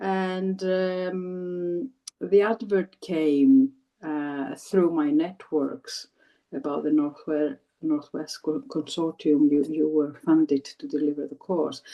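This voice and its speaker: Very slow speech from a woman in a Greek accent, her pitch fairly low. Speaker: former TESOL trainee, new English teacher. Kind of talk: interview. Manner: halting, many repetitions.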